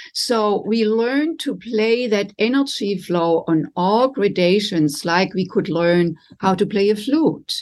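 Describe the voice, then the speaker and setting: A woman with a German accent, medium in pitch, with lively intonation, a very slow pace, hardly any pauses, and a quiet background. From Germany. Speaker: relationship coach. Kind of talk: interview. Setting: video call.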